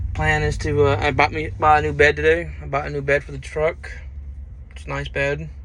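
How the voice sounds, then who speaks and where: Over noticeable background noise, a man speaks at a fairly quick pace with big swings in loudness. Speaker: truck driver vlogger. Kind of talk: casual vlog monologue.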